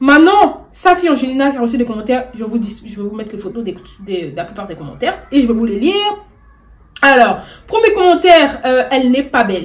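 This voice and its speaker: A woman talks at a very fast pace in an animated tone, with a high pitch and very wide pitch swings. Her loudness swings a lot, and noticeable background noise is present. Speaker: YouTuber, celebrity news commentator. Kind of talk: casual vlog commentary. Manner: stammering, hesitant; animated, indignant.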